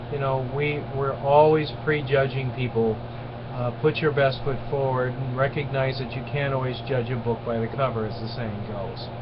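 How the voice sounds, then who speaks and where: A man speaks at medium pitch and a moderate pace in a monotone, flat delivery. Audible room echo and noticeable background noise surround his voice. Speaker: lecturer. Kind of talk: online lecture. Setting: webcam recording.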